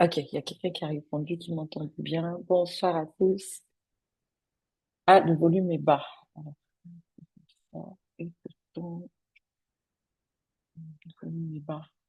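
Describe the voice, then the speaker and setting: Soft-spoken and somewhat breathy, a woman speaks very slowly in a dark, mellow tone at a fairly low pitch, her intonation monotone and flat, with long, frequent pauses. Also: big swings in loudness. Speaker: business coach. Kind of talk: webinar presentation. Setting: online webinar. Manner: hesitant, many fillers.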